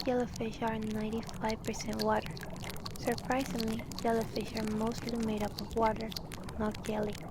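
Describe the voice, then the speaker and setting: Whispering and soft-spoken, a woman speaks at a fairly slow pace. Noticeable background noise can be heard. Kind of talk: fact narration. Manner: soft-spoken, whispered.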